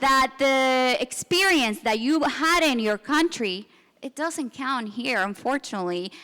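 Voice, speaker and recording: With a Spanish accent, a woman talks in a bright, sharp tone and lively intonation. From Venezuela. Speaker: business consultant. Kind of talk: panel discussion. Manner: halting, many fillers and restarts.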